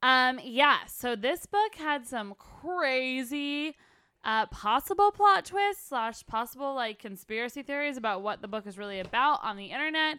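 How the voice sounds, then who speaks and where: Projected and raised, the voice has a bright, sharp tone, very wide pitch swings and big swings in loudness at a moderate pace, on a very clean recording with a silent background. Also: woman, high pitch for a woman. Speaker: podcast host. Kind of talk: casual chat.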